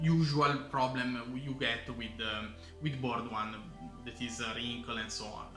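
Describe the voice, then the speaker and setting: Speaking with an Italian accent at a fairly slow pace, a man is heard with audible room echo and noticeable background noise. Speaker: board game reviewer. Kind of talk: tutorial. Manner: halting, many fillers. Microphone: recorded with camera audio, poor quality.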